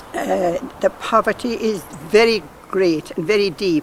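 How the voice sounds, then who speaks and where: A fairly slow pace in a Kerry accent, over noticeable background noise. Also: woman. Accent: Irish (Kerry). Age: 70s. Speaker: nun. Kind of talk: casual interview.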